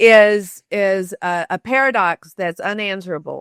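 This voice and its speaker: A woman with a Southern US accent and medium pitch, in a very clean recording with a silent background and a dry, close sound with no echo. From US South, Shreveport, Louisiana. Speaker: author and storytelling expert. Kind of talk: interview conversation.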